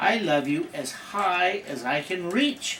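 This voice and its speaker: Using a put-on character voice, a man speaks at a high pitch and a fairly slow pace over clear background noise. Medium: read story.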